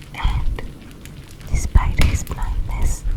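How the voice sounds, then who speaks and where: Whispering, a woman speaks at a very slow pace. Noticeable background noise runs underneath. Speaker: ASMR creator. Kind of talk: scary story reading. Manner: breathy whisper.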